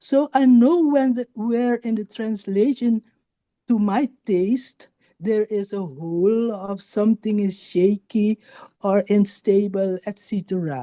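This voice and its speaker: In a Dutch accent, a woman speaks at a very slow pace with a dark, mellow tone and ordinary pitch variation. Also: medium pitch for a woman, dry, close sound with no echo. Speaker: novelist. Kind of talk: panel talk. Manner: halting.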